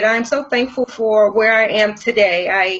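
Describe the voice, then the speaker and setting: In an American accent, a woman projects a raised voice at a moderate pace, with noticeable background noise. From US Northeast, Brooklyn, New York. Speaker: life coach and author. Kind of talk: interview.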